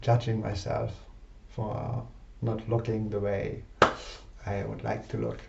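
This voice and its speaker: Over noticeable background noise and audible room echo, a man speaks very slowly at a medium pitch with monotone, flat intonation. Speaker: personal development participant. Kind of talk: personal vlog confession. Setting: alone in a room facing a mirror. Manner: halting.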